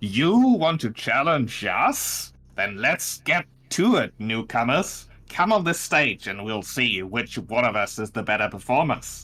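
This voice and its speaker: In a put-on character voice, a man speaks fairly slowly at medium pitch, shrill and with very wide pitch swings. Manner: challenging.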